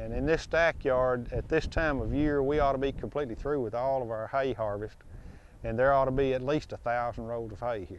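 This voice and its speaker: A man speaks with an American accent in an unremarkable speaking voice. His pitch is medium, with ordinary variation, at a moderate pace. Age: 60s. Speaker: cattle and hay farmer. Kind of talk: interview. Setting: outdoors.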